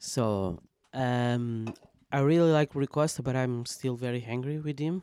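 Speaking with a Portuguese accent, a man uses a medium pitch and a dark, mellow tone. He talks at a fairly slow pace with ordinary pitch variation. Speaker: football fan guest. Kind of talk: casual chat.

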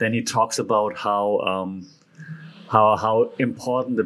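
Talking very slowly with a German accent, a man keeps a medium pitch and fairly even intonation. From Germany. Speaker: podcast host. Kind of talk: solo commentary on media and communication. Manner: casual, repetitive with frequent fillers.

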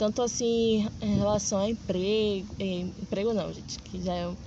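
Noticeable background noise and audible room echo around a woman talking at a fairly slow pace. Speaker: podcast host. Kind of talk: casual interview. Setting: outdoors in a public square.

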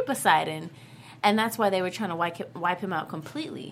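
The voice moves in very wide pitch swings at a fairly quick pace. Noticeable background noise sits behind it. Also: woman. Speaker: TV show after-show host. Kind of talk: casual chat.

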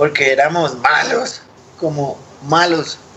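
A man's voice sits fairly high, with fairly even intonation. Noticeable background noise can be heard. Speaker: punk musician. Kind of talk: casual chat.

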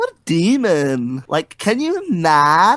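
In a put-on character voice, the speaker talks at a very slow pace with a middle pitch. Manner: exaggerated imitation, judged bad by the other speaker.

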